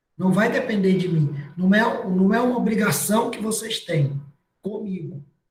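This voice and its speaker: A man speaks with a high pitch, and the room echo is audible. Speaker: university lecturer. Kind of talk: online class lecture.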